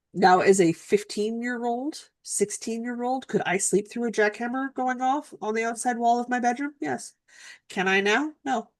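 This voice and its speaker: A woman talks at a moderate pace in an ordinary speaking voice. Her pitch is fairly high with ordinary pitch variation, and the background is quiet. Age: 40s. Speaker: co-host of a knitting live stream. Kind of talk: casual chat. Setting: live stream.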